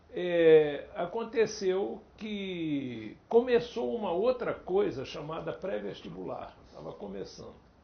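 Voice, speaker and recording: A man talks at a very slow pace with hardly any pauses and big swings in loudness. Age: 70s. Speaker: Portuguese teacher. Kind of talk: interview.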